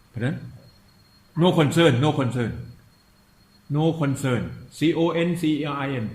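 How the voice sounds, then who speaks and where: A fairly high male voice with vocal fry and ordinary pitch variation, at a fairly slow pace with long, frequent pauses and audible room echo. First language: Thai. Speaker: meditation teacher. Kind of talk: dharma talk. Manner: halting.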